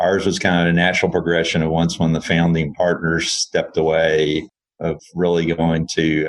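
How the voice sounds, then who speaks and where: A man with a Texan accent speaks at a fairly quick pace. His very deep, low voice stays monotone and flat. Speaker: engineering firm CEO. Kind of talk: interview.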